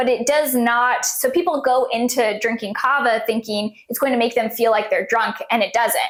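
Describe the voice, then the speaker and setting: Over noticeable background noise, a woman with a high voice talks at a moderate pace with hardly any pauses, fairly even intonation and very even loudness. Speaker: podcast co-host. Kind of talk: casual podcast chat.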